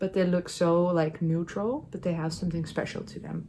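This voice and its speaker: A woman speaks in a Dutch accent at a fairly low pitch. Her voice is somewhat breathy. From Netherlands. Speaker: knitting youtuber. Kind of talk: casual chat. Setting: home knitting corner. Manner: hesitant, many fillers.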